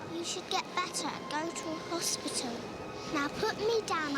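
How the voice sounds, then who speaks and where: Loud background noise fills the clip. A woman uses a put-on character voice at a high pitch and a moderate pace. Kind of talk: regal, upper-class. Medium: comedy sketch.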